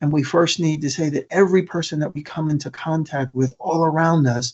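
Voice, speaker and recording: With an American accent, a man talks at a fairly quick pace, somewhat breathy, fairly high-pitched, and with fairly even intonation. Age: 60s. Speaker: motivational speaker on suicide prevention. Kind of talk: conference presentation. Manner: repetitive, stumbling restarts.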